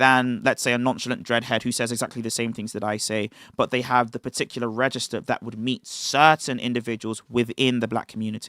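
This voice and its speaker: A man with a British accent talks at a fairly quick pace and medium pitch, his tone bright and sharp. The recording is very clean, with a silent background. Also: dry, close sound with no echo. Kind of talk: livestream talk. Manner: enunciated.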